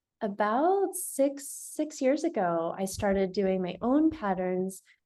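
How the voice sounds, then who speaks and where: In an American accent, a woman with a dark, mellow tone lets her pitch swing very widely. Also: quiet background. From US, Seattle. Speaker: pattern maker, business owner. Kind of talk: casual interview. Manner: hesitant, many fillers.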